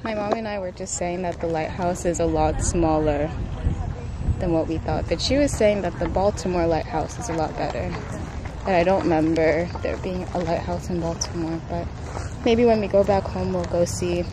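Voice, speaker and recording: A woman speaks at a moderate pace with crowd noise behind her, the sound dry with no echo. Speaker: vlogger. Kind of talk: casual vlog chat. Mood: relaxed, lightly amused. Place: beach. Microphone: phone near.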